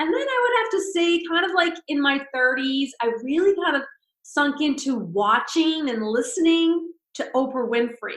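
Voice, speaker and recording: The woman speaks at a moderate pace with a high pitch. Her pitch swings very widely. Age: 60s. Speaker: spiritual speaker. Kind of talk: podcast interview.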